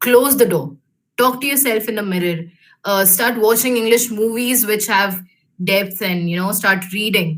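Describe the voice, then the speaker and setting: A woman with an Indian accent speaks at a medium pitch. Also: ordinary pitch variation, moderate pace. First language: Hindi. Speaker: alumna speaker, engineer in industry. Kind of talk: career talk to students. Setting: video call webinar. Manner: hesitant, many fillers.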